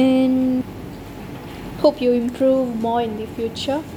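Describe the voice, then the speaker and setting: The intonation is monotone and flat, broken by long, frequent pauses. Noticeable background noise runs underneath. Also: woman. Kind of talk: farewell speech.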